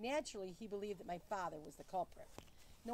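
The delivery is a natural reading voice. Pitch moves up and down in an ordinary way.

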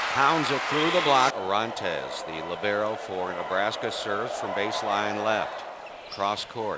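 Noticeable background noise sits behind a man speaking at a fairly low pitch. He goes at a fairly slow pace with ordinary pitch variation. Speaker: volleyball commentator. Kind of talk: live sports commentary of a volleyball match, highlight reel. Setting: arena, during a college volleyball match. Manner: excitable at big points, occasional laugh.

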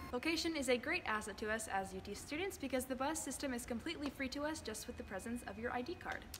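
A woman's high voice in an American accent, very fast with hardly any pauses, ordinary pitch variation and faint music in the background. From Texas, Houston. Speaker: acting student; student tour guide. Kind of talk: campus tour presentation. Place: hall. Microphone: phone near.

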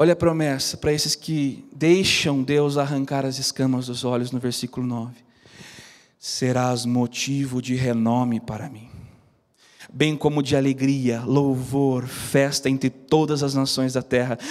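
Against a quiet background, a man speaks at a fairly slow pace with monotone, flat intonation. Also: medium pitch for a man. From interior of São Paulo state, Brazil. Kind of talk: sermon, preaching a Bible-based message to a live audience. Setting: TV studio with live audience. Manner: fervent, exhortative, direct address to listeners, praying aloud. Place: studio. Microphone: handheld.

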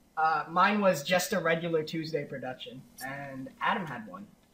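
A man with an ordinary speaking voice talks at a fairly high pitch with lively intonation. His loudness swings widely. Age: 20s. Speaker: podcast co-host and editor. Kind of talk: casual chat.

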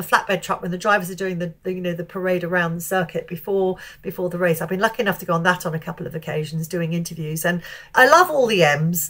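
A woman speaks with a British accent at a medium pitch. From England. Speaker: motorsport TV reporter. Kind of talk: casual interview. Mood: amused, warm storytelling.

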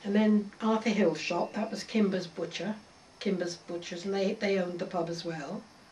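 Over noticeable background noise, a woman with an Oxfordshire accent speaks at a moderate pace and medium pitch. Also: fairly even intonation. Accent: rural Oxfordshire English. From Oxfordshire, southern England. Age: 80s+. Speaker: local elder recalling village history. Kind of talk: oral history interview.

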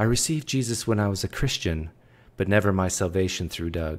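A man speaks at a moderate pace in a very deep, low voice. His pitch variation is ordinary. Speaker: livestream host. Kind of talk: casual livestream chat reading viewer messages. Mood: playful, joking.

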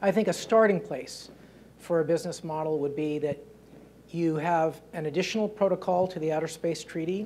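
Light background noise sits behind a man with a high pitch, speaking at a fairly quick pace with fairly even intonation. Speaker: panelist. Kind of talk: panel discussion answer. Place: hall. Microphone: lapel.

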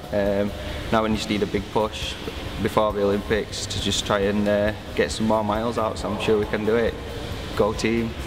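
Over noticeable background noise, the speech runs at a moderate pace in a monotone, flat intonation with long, frequent pauses. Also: man, fairly low pitch for a man. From Barnsley, Yorkshire, northern England. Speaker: adult swimming learner. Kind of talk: interview testimony. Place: hall.

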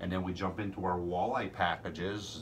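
Over light background noise, a man speaks at a very deep, low pitch with fairly even intonation. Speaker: fishing guide. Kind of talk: promotional chat to camera. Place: home room. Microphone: phone near.

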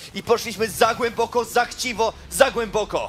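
Over music in the background, a man speaks with a high pitch and a playful, theatrical tone. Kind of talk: esports match commentary. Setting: broadcast stream commentary. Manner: loud, fast, excitable, shouting with rising hype; playful, theatrical, joking with co-caster.

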